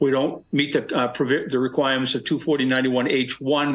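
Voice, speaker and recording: Speaking at a fairly quick pace, a man uses a medium pitch. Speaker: attorney presenting a zoning appeal. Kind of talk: formal presentation at public hearing. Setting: town board public hearing. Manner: halting, many fillers and restarts.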